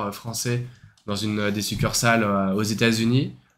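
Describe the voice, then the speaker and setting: A man speaks at a moderate pace in a monotone, flat delivery, with audible room echo. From France. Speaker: podcast co-host. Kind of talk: casual chat. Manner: hesitant, many filler sounds.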